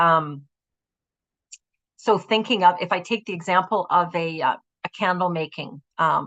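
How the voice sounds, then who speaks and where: A woman's fairly low-pitched voice, an unremarkable speaking voice, with ordinary pitch variation and a fairly slow pace. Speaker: employment support presenter. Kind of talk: web conference presentation.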